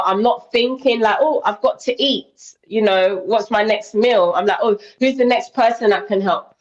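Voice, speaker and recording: A woman with a British accent, fairly high in pitch, at a moderate pace with ordinary pitch variation. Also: hardly any pauses, very even loudness. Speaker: interview guest on weight loss. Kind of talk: casual interview chat.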